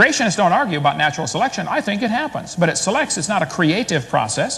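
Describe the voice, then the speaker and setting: Speaking very fast in an American accent, a man uses a high pitch with very wide swings and an animated tone. Noticeable background noise runs underneath. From US Midwest, Illinois. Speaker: creationist debater. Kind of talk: debate presentation.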